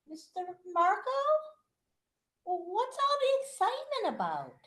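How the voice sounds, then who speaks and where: A woman uses a put-on character voice at an extremely high pitch, swinging very widely in pitch at a moderate pace. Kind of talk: radio drama performance.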